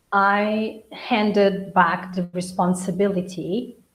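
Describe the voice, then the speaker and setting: Somewhat breathy and medium in pitch, a woman speaks with monotone, flat intonation. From Angola and Portugal. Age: 40s. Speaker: interview guest. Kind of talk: casual chat.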